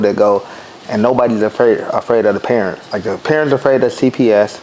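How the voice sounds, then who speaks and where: A man speaks at a moderate pace with a medium pitch and ordinary pitch variation over noticeable background noise. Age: 30s. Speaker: podcast host. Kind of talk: casual interview.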